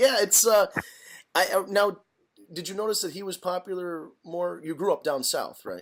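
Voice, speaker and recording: A high-pitched man at a moderate pace, with big swings in loudness and ordinary pitch variation. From northern US. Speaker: podcast host. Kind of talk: casual chat.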